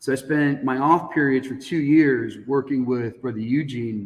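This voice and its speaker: With an American accent, a man speaks in a normal speaking voice at medium pitch, using fairly even intonation at a moderate pace. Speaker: high school teacher. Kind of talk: casual chat.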